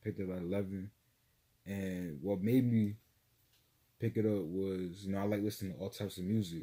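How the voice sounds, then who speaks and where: A man with an American accent talks at a fairly quick pace in a dark, mellow tone, his fairly low voice keeping a fairly even intonation broken by long, frequent pauses. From US East Coast and Florida, now Georgia. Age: 20s. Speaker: rapper. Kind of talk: interview.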